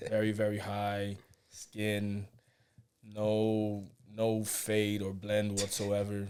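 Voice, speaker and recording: A man with an American accent speaks very slowly in a fairly low, monotone, flat voice with long, frequent pauses. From New York City. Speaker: basketball coach. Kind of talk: casual chat. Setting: studio.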